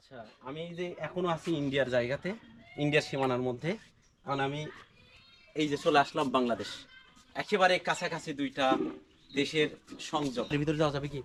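A man's fairly high voice with ordinary pitch variation and big swings in loudness. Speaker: travel vlogger. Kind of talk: vlog narration and street interviews. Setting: outdoors at the border.

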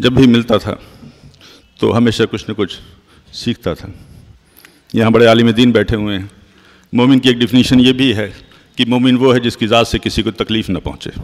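Fairly even intonation in an ordinary speaking voice from a man. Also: medium pitch for a man. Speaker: medical doctor. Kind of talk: memorial tribute speech.

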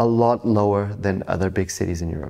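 With a Portuguese accent and lively intonation, a man speaks at a moderate pace over a quiet background. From Portugal (Lisbon); Portugal. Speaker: real estate agent. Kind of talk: interview; interview answer. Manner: halting. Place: office.

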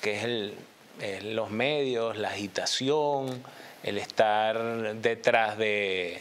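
A man's voice with ordinary pitch variation. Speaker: TV political commentator. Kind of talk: commentary. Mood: calm analytical. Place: studio.

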